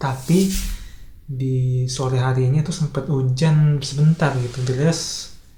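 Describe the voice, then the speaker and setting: Soft-spoken man at a medium pitch, with audible room echo. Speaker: vlogger. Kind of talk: casual monologue vlog.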